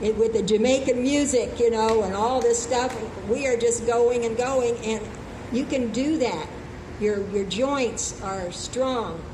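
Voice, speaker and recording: Fairly slow speech from a woman amid audible room echo and noticeable background noise. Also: fairly high pitch for a woman, fairly even intonation. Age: 80s+. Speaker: health speaker. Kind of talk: open mic talk.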